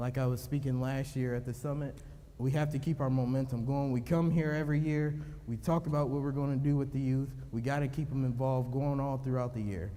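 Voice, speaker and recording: Audible room echo surrounds a man who speaks very fast at medium pitch with fairly even intonation. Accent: American. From Cleveland, Ohio. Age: 20s. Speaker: police officer and youth program founder. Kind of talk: conference speech. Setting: stage with audience.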